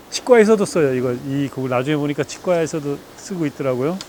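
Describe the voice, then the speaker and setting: A man's fairly high voice in a relaxed tone, with ordinary pitch variation and noticeable background noise. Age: 60s. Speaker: rural retiree and woodcraft maker. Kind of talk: casual interview. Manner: casual, relaxed.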